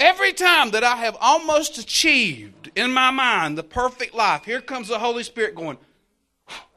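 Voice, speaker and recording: A man's raised, projected voice, extremely high in pitch with a bright, sharp tone, moves at a moderate pace through very wide pitch swings and big shifts in loudness, on a very clean recording with a silent background. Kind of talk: charismatic sermon, preacher in full flow with call-and-response. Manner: animated, exhorting the crowd, punchy and emphatic, with humor; fervent, rousing, urging the congregation to keep the faith.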